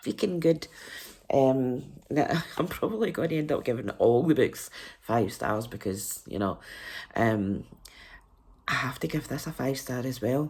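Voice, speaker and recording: Very deep and low in pitch, a woman's voice makes very wide pitch swings. She speaks at a fairly slow pace with long, frequent pauses. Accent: Scottish. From Scotland. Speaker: book reviewer. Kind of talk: casual vlog review.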